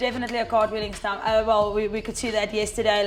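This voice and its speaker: Over music in the background, a woman talks in a fairly high pitch with monotone, flat intonation. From South Africa, Cape Town. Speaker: cricketer. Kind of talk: interview. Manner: loud.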